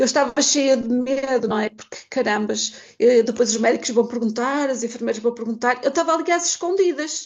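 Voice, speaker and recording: A woman speaks at a moderate pace with a high pitch and hardly any pauses. Her pitch varies in an ordinary way, and background noise is noticeable. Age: 50s. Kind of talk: testimony.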